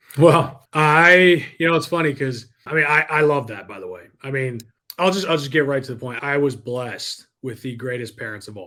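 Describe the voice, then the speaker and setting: A man with an American accent speaks at a moderate pace with hardly any pauses, using a medium pitch, ordinary pitch variation, big swings in loudness and a bright, sharp tone. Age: young. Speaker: entrepreneur and sales coach. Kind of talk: podcast interview. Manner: animated.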